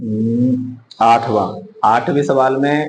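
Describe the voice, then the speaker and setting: Music playing in the background beneath speech with ordinary pitch variation. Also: man. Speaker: math teacher. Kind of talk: lecture.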